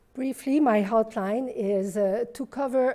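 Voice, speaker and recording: In a French accent, a woman talks with a dark, mellow tone. Her pitch varies in an ordinary way. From Quebec. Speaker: physician and professor. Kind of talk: conference talk.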